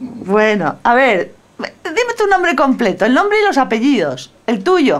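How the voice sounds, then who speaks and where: A woman's high-pitched voice with very wide pitch swings, very even loudness and a fairly slow pace. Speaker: interviewer. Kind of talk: interview questions. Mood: warm, casual. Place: home room. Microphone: phone near.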